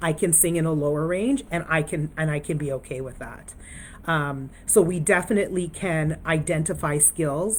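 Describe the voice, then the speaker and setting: At a moderate pace, a woman talks with a fairly low pitch and ordinary pitch variation. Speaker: resilience speaker. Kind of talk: live-stream talk. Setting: Facebook/Instagram live video.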